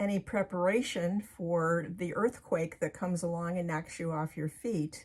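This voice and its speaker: A woman speaks at a fairly slow pace with a fairly low pitch and ordinary variation. Her voice is somewhat breathy. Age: 70s. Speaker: author and medium. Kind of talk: casual talk to camera.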